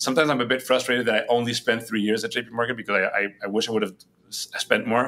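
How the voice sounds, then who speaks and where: A man with a Spanish accent talks at a very fast pace in a bright, sharp tone. His intonation stays fairly even, in a very clean recording with a silent background. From Spain, Madrid. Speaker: head of a global entrepreneurship nonprofit. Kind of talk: podcast interview. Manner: hesitant with many fillers and repetitions.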